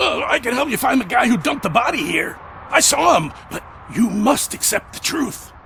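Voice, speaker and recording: Against clear background noise, a man uses a put-on character voice at an extremely high pitch for a man, moving at a moderate pace. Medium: video game. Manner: rambling, jittery.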